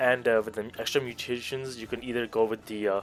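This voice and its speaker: With music in the background, a man talks at a fairly quick pace with fairly even intonation. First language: not English. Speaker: gaming video creator. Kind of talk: narrated game guide.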